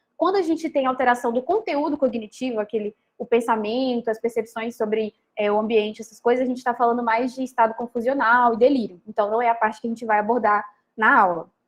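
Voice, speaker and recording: A woman's fairly high voice at a very fast pace with ordinary pitch variation. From Minas Gerais, Brazil. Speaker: medical student lecturer. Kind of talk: lecture. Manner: hesitant fillers.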